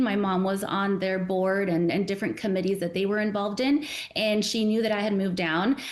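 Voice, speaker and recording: Noticeable background noise and audible room echo surround a speaker with an American accent. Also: woman. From Arizona, US. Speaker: nonprofit executive director. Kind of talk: casual interview.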